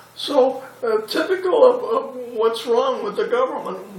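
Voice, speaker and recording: A man speaks fairly slowly in a room with audible echo, and noticeable background noise is present too. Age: 90s. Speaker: war veteran. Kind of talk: oral history interview. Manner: halting.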